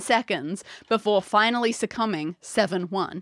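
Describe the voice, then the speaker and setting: Recorded dry and close with no echo, a woman speaks at a fairly high pitch with ordinary pitch variation. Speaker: podcast co-host. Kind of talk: casual chat. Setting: playing a board game at home. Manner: quiet when reading questions.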